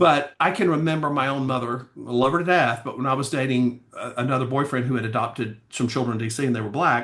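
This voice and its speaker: A man races along at a very fast pace with hardly any pauses, in a Southern US accent. His pitch is medium, with ordinary pitch variation. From US South, Alabama. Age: 60s. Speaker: pageant coach and attorney. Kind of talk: casual chat. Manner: animated.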